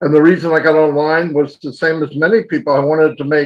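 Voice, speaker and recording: This man has a fairly high pitch and fairly even intonation. He talks at a moderate pace. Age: 60s. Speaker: online business promoter. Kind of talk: webinar presentation. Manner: casual.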